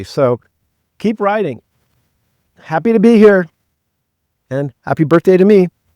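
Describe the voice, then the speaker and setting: A man's high-pitched voice with a dark, mellow tone and lively intonation, fairly slow with long, frequent pauses, in a dry, close sound with no echo. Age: 70s. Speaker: physician and cyclist. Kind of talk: casual talk to camera.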